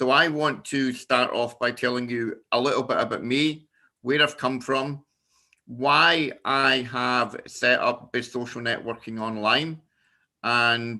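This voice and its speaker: This man speaks very slowly in a Scottish accent, at a medium pitch. His tone is bright and sharp, and his intonation stays fairly even. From Scotland. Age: 50s. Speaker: business networking founder. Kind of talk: personal presentation. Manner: halting.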